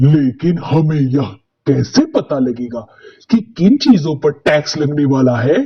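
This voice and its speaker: Using a put-on character voice, a man speaks at a fairly slow pace with a fairly high pitch and ordinary pitch variation. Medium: read story. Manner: rough, bullying.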